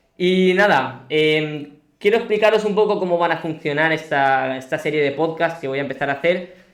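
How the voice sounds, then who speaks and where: Audible room echo surrounds a man who speaks at a moderate pace with a fairly high pitch and ordinary pitch variation. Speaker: podcast host. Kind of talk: live-streamed interview. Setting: home studio.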